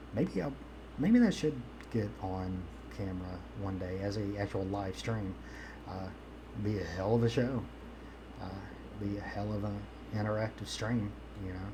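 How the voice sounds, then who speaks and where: At a moderate pace, a man with a Southern US accent and a fairly low pitch speaks with ordinary pitch variation and long, frequent pauses, amid noticeable background noise and audible room echo. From US South. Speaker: streamer. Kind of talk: casual live-stream chat. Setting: live stream with webcam. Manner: rambling, filler-heavy.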